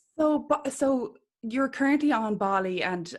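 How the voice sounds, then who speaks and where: On a very clean recording with a silent background, a woman with an Irish accent speaks with ordinary pitch variation. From Ireland. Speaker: podcast host, spiritual healer. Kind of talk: interview conversation.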